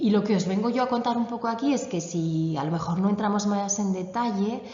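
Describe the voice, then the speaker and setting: Noticeable background noise and audible room echo surround a woman speaking at a medium pitch and a fairly quick pace with ordinary pitch variation. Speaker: yoga instructor. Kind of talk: conference talk.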